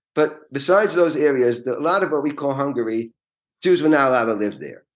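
A man with a New York accent, medium pitch, ordinary pitch variation, and a fairly quick pace. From New York City (Queens). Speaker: real estate lawyer. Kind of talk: interview.

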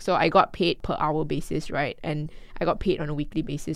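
A woman speaks with a very deep, low pitch and fairly even intonation. The recording is very clean with a silent background. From Malaysia, Kuala Lumpur. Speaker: personal finance educator. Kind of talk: casual chat.

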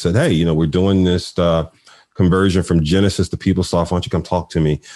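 Here is a man with a Philadelphia accent and a very deep, low pitch. His intonation stays monotone and flat. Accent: Philadelphia American English. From Philadelphia, US. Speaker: nonprofit CEO and HR executive. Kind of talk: interview conversation.

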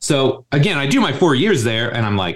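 At a very fast pace, a man with an American accent talks at a medium pitch. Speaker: strength coach, gym co-founder. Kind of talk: podcast interview. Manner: casual, animated.

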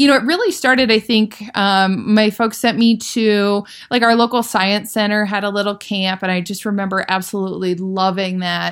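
In an American accent, a woman speaks at a moderate pace. Her pitch is medium and her intonation fairly even. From US Midwest, Iowa. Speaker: aerospace engineer. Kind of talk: interview. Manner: hesitant, many fillers.

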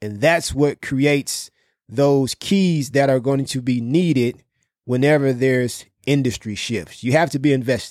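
A plain, everyday voice from a man, medium in pitch with ordinary pitch variation, at a fairly slow pace on a very clean recording with a silent background. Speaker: podcast host. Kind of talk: casual business podcast discussion. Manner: casual, conversational.

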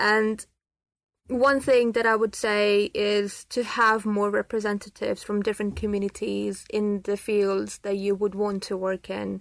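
A woman at a fairly slow pace with monotone, flat intonation, on a very clean recording with a silent background. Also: medium pitch for a woman. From Pakistan. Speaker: spacecraft software engineer. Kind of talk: casual interview.

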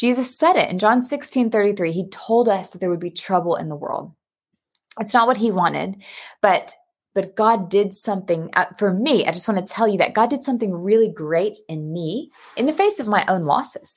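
Speaking at a moderate pace with an American accent, a woman uses a medium pitch. Her tone is animated and warm, her intonation lively. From US Texas. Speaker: pastor and Bible study host. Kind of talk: casual live video chat. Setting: live video stream. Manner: animated, warm, enthusiastic.

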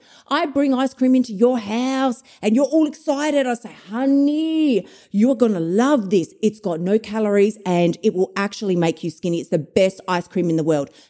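In a very clean recording with a silent background, a dark, mellow voice swings very widely in pitch. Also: woman, fairly high pitch for a woman. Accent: Australian. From Australia. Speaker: emotional eating coach. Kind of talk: solo motivational podcast monologue. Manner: fast talker, aggressive, animated.

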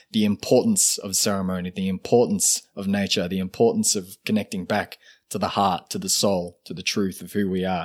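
In a very clean recording with a silent background, a man with an Australian accent speaks at fairly low pitch with monotone, flat intonation. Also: fairly quick pace. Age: 30s. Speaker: shaman and ceremonialist. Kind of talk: casual interview conversation.

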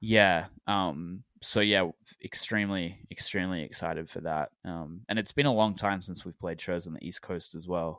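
A man with an Australian accent speaks at a moderate pace in a very deep, low pitch, with ordinary pitch variation, big swings in loudness and hardly any pauses. The recording is very clean with a silent background and a dry, close sound with no echo. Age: 20s. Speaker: indie rock musician. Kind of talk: casual interview chat.

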